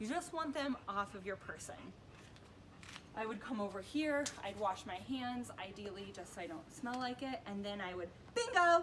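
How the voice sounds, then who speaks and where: With very wide pitch swings, a woman speaks at a fairly high pitch and moderate pace over noticeable background noise. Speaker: dog trainer. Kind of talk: tutorial. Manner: casual, conversational.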